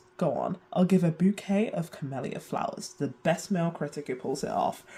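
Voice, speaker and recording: A woman speaks with a British accent. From UK. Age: 20s. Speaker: video essayist. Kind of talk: video essay narration.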